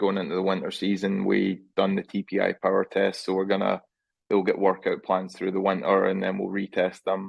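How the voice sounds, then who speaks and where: This man speaks with a Scottish accent. His pitch sits fairly low. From Scotland. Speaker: junior golf coach. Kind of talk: interview answer.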